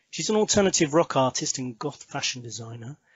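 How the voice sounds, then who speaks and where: A somewhat breathy man at a fairly quick pace. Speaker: podcast host. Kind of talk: podcast interview.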